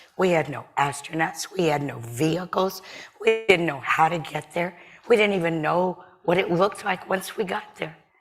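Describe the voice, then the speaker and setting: A woman's fairly low voice with an American accent, ordinary pitch variation and a moderate pace, set against noticeable background noise. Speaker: panelist. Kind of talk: panel discussion. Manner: animated.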